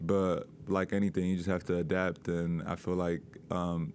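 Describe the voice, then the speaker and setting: In a very clean recording with a silent background, a man speaks with a very deep, low voice. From London, England. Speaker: college basketball player. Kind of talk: press interview.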